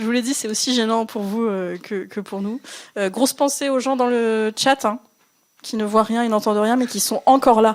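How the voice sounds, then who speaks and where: A woman with a fairly high voice talks at a moderate pace on a very clean recording with a silent background. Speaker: podcast host. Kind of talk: live podcast presentation. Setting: bar stage with live audience.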